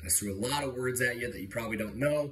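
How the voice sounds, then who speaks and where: A man speaks very fast in an animated, bright, sharp tone at a medium pitch with ordinary pitch variation. Audible room echo is present. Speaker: student teacher giving a mock lesson. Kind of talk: classroom lesson for children.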